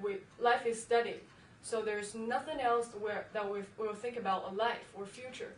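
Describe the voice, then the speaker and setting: Speaking with a Chinese accent, a woman talks at a moderate pace in a fairly high pitch with fairly even intonation. Noticeable background noise runs behind her. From China. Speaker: university student. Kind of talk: interview answer.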